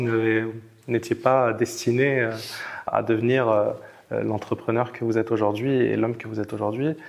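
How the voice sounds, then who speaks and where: A man with monotone, flat intonation over light background noise. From immigrant to France. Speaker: interview host. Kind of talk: interview. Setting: outdoors by the Mediterranean. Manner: hesitant, many fillers. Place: home room. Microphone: lapel.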